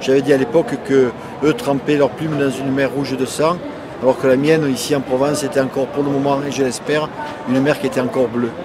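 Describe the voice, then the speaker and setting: A man talks at a very fast pace in a monotone, flat intonation. Audible room echo and noticeable background noise surround him. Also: fairly high pitch for a man. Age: 60s. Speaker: author. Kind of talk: interview. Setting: book fair.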